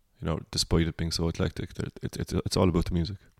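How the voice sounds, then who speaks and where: A man's very deep, low voice with a Cork accent, at a very fast pace. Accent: Cork Irish. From Ireland, Cork. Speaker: singer-songwriter. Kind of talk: casual chat. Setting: at home.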